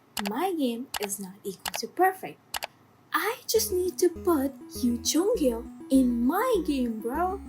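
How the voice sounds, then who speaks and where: Very slow speech from a woman with a high pitch and very wide pitch swings, music playing behind her. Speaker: student coder vlogger. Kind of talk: casual vlog narration. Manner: casual, animated.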